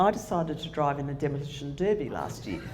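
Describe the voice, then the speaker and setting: Amid audible room echo, a woman with an Australian accent talks at a moderate pace in a very deep, low pitch, with ordinary pitch variation. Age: 60s. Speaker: motivational speaker. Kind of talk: conference talk.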